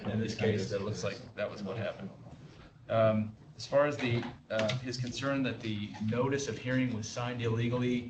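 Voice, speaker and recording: Audible room echo and noticeable background noise frame this recording. A man speaks at a moderate pace in a medium pitch, with monotone, flat intonation. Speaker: board member. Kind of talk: public board meeting deliberation. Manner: hesitant, many fillers.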